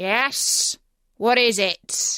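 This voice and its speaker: A woman puts on a character voice that is raspy and growling. Her pitch is high. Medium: read story. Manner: gruff, curt.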